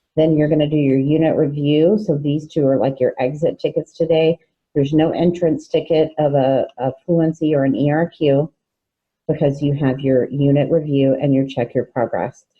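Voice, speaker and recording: Her pitch very deep and low, a woman speaks at a moderate pace with fairly even intonation and very even loudness. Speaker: fifth grade teacher. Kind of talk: recorded online lesson.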